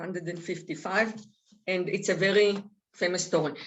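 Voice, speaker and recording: A woman with a medium pitch and a non-native accent. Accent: foreign. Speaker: author and speaker. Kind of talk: reading aloud; talk to seniors group.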